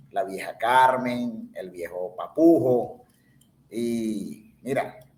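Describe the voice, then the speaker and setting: A man with a medium pitch talks very slowly, his pitch varying in an ordinary way. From Venezuela, Ciudad Bolívar. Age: 50s. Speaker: podcast guest. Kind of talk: casual chat.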